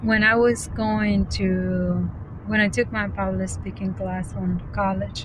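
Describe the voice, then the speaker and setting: A woman speaks at a very slow pace. There is audible room echo and noticeable background noise. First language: Spanish. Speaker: vlogger practicing speaking. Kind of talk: casual vlog monologue. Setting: self-recorded on camera. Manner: halting, with fillers and restarts.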